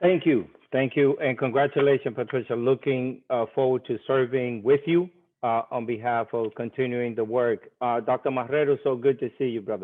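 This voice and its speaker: A man with a normal speaking voice and an American accent talks at a moderate pace, in a medium pitch with fairly even intonation. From Dominican Republic, then New York. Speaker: school principal. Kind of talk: virtual conference speaker introduction.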